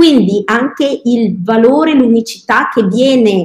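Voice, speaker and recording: The voice is somewhat breathy, moving at a very slow pace with ordinary pitch variation. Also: woman. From Verona, Veneto, Italy. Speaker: children's cooking teacher. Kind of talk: interview.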